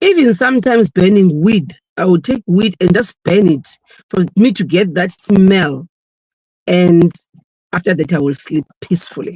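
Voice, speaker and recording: Somewhat breathy, with a dark, mellow tone, a woman speaks with long, frequent pauses in a dry, close sound with no echo. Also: medium pitch for a woman, ordinary pitch variation, moderate pace. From South Africa. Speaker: filmmaker and actress. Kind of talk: interview answer.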